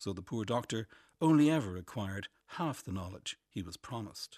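With an Irish accent, a man talks at a moderate pace with very wide pitch swings, in a dry, close sound with no echo on a very clean recording with a silent background. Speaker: essayist. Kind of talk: reading aloud.

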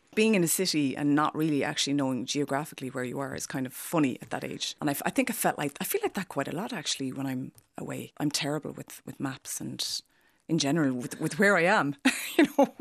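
With a western Irish accent, a woman speaks at a fairly quick pace in a very deep, low voice, the sound dry and close with no echo against a quiet background. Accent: Irish, west of Ireland. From west of Ireland. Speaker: fashion designer and artist. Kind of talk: casual conversation. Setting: studio.

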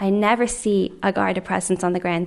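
A woman with a Dublin accent speaks at a fairly quick pace in a medium pitch. Her flat, monotone delivery carries vocal fry. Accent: Dublin Irish. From Ireland, Dublin. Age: young. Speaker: member of the public. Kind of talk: testimony.

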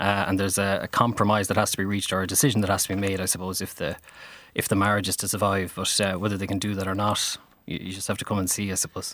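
A man with a western Irish accent speaks very fast in a bright, sharp, fairly low voice with monotone, flat intonation, in a very clean recording with a silent background. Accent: Irish (west of Ireland). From Ireland, Galway/Mayo. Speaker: playwright. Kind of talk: radio interview. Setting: radio studio.

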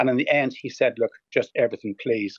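This man speaks at a medium pitch in a Northern Irish accent. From Northern Ireland. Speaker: hoarding specialist. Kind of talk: radio interview. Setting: phone call.

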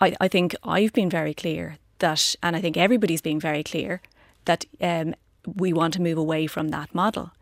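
A woman with an Irish accent, fairly low in pitch, with fairly even intonation at a moderate pace, in a very clean recording with a silent background and a dry, close sound with no echo. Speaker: politician. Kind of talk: radio panel debate.

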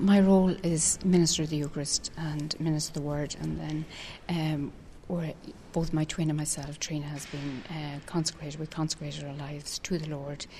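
A woman's very deep, low voice in a Dublin accent, dark and mellow, somewhat breathy and monotone. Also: moderate pace. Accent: Dublin Irish. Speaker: consecrated virgin and lay minister. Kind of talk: interview.

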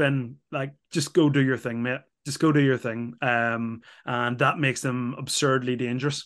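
With an Irish accent, a man speaks at a medium pitch and a moderate pace in a monotone, flat intonation. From Ireland. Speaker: former rugby player and pundit. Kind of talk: casual chat.

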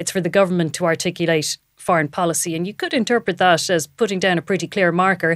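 Delivered very rapidly, the speech keeps a fairly level intonation. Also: woman, fairly low pitch for a woman. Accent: Irish. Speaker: political reporter. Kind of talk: casual political chat. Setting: studio in parliament building.

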